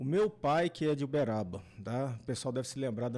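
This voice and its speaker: A man speaks in a normal speaking voice at a medium pitch, with ordinary pitch variation. His pace is fairly quick, and the recording is very clean with a silent background. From São Paulo city, Brazil. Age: 50s. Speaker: engineer and former vice mayor. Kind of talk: podcast interview. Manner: casual, conversational.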